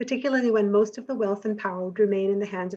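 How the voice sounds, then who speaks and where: A woman with an American accent talks at a very fast pace and a medium pitch. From United States (Jamaica until age ten). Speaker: sociology professor. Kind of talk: prepared academic presentation. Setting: webinar.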